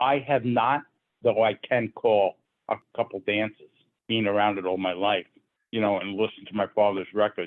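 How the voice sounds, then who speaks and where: A man speaks in a normal speaking voice, fairly low in pitch, at a moderate pace with fairly even intonation. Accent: American. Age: 60s. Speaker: square dance caller's descendant, interviewee. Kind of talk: interview.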